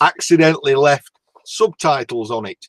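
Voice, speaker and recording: A man speaks in a strong northern English accent at a fairly high pitch and a fairly slow pace. His intonation is lively, and the sound is dry and close with no echo. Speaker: YouTuber guest. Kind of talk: casual chat. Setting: video call livestream.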